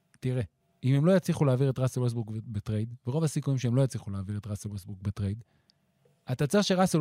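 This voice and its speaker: The voice has a dark, mellow tone and lively intonation at a very fast pace. The recording is very clean, with a silent background and a dry, close sound with no echo. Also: man. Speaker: basketball analyst. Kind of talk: casual chat.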